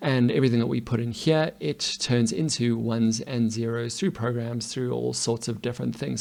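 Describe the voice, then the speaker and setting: A man speaks at a medium pitch. He has a normal speaking voice and a moderate pace. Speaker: coding teacher. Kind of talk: tutorial.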